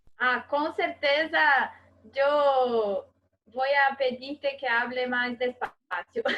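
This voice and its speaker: A woman with a Portuguese accent speaks very slowly in a high, bright, sharp voice with lively intonation. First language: Portuguese (speaking Spanish). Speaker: interviewer. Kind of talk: academic interview. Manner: halting.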